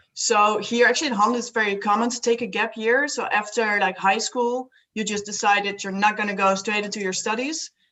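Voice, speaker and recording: A woman's fairly high voice with a Dutch accent, fairly quick and with hardly any pauses, in fairly even intonation. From Netherlands. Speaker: student and solo traveller. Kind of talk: casual interview chat.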